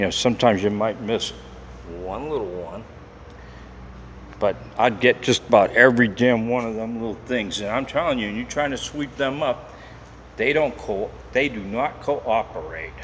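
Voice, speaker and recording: A man at a moderate pace with long, frequent pauses, amid noticeable background noise. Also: medium pitch for a man, ordinary pitch variation. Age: 60s. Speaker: security guard and cleaner. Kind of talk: casual vlog narration while walking. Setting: inside an industrial building at night. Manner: conversational, rambling with repetitions.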